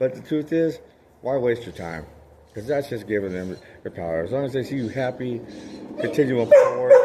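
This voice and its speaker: Loud and lively in intonation, a man at medium pitch talks at a fairly quick pace with long, frequent pauses over noticeable background noise. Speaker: motivational vlogger. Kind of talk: motivational monologue. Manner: animated.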